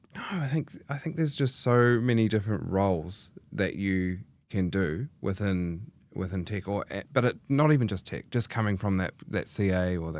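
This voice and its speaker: Moderately paced and full of lively intonation, a man with a New Zealand accent talks in a fairly low pitch. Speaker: chartered accountant in tech, general manager. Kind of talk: podcast interview. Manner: hesitant, many fillers.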